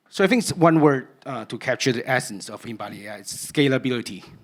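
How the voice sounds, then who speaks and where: Speaking at a very fast pace with a Cantonese accent and ordinary pitch variation, a man is captured on a very clean recording with a silent background. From Cantonese-speaking region (Hong Kong/Guangdong). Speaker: researcher giving a conference talk. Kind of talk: conference talk.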